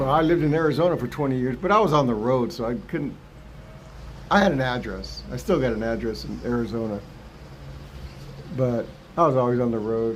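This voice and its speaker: With an American accent, a man talks at a fairly quick pace, broken by long, frequent pauses, in audible room echo. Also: medium pitch for a man, ordinary pitch variation. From US West, Los Angeles San Fernando Valley. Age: 60s. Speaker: retired vlogger. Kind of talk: casual live stream chat. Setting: live stream.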